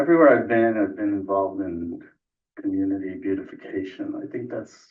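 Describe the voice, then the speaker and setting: Soft-spoken, a man talks with an American accent. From New York. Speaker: scientist and board applicant. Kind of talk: interview. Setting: council meeting room.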